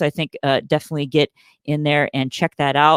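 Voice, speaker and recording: A man at a fairly quick pace, the sound dry and close with no echo. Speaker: choir director and webinar presenter. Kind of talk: webinar tutorial with live Q&A. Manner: casual, many filler words.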